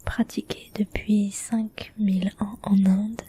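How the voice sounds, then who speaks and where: Whispering unfolds very slowly while noticeable background noise carries on behind it. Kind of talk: whispered book reading, ASMR relaxation. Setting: ASMR recording for relaxation. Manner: whispered.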